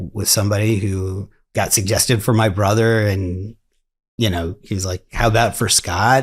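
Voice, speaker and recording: A man's fairly low, monotone voice with flat intonation, an American accent and a moderate pace. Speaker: lawyer. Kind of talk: interview. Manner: halting.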